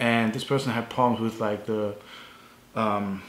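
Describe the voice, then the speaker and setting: At a moderate pace, a man with a German accent talks at a medium pitch. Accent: non-native, German-sounding. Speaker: strength coach. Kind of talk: tutorial. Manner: halting, many fillers.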